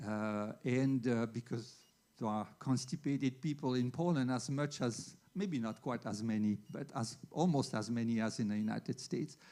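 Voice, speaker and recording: Here a man with a dark, mellow tone and medium pitch talks at a moderate pace with ordinary pitch variation. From Switzerland. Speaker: veterinary internist. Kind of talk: lecture.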